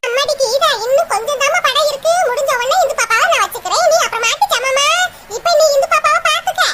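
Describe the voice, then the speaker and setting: A woman uses a cartoonish character voice at an extremely high pitch with very wide pitch swings. Her pace is fairly quick. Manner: sugary, coaxing, calling her "ammadi".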